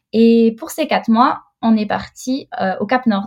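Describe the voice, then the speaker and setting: With fairly even intonation, a woman talks in a somewhat breathy voice. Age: 30s. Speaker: mother and entrepreneur. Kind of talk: casual interview chat. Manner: hesitant, many fillers.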